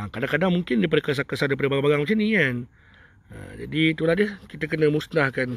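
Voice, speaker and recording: A man talks at a very fast pace in a fairly high voice with ordinary pitch variation. The loudness stays very even and the sound is dry with no echo. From Malaysia, Kuala Lumpur (Bandar Tun Razak); Kuala Lumpur, Malaysia. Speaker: spiritual healer. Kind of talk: live stream monologue. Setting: outdoors. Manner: rambling, repetitive. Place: open country. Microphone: initial audio problem; phone near.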